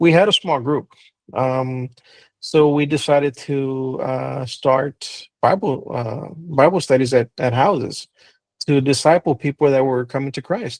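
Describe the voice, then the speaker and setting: A man with an American accent speaks at a fairly slow pace in a fairly high pitch, with ordinary pitch variation and a dry, close sound with no echo. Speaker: pastor. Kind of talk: interview conversation. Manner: hesitant, many fillers.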